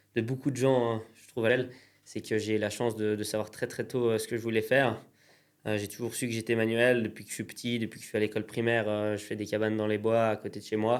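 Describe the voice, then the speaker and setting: At a very fast pace, a man speaks in a monotone, flat intonation at a medium pitch. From Pays de Gex, France, near Geneva border. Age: 20s. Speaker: entrepreneur, craftsman. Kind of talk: interview. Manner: hesitant, many fillers.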